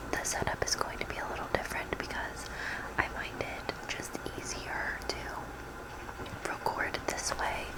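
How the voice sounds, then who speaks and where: Whispered words come at a fairly slow pace, with noticeable background noise present. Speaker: ASMR creator. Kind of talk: casual talk to camera.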